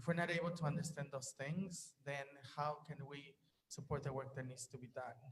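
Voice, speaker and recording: A man with a Spanish accent talks at a fairly high pitch, somewhat breathy and monotone with flat intonation. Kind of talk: panel discussion.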